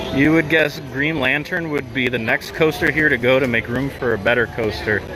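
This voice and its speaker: The voice moves at a moderate pace with ordinary pitch variation over noticeable background noise. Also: man, medium pitch for a man. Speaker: theme park vlogger. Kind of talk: livestream walking commentary. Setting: outdoors in theme park. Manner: loud, raised voice.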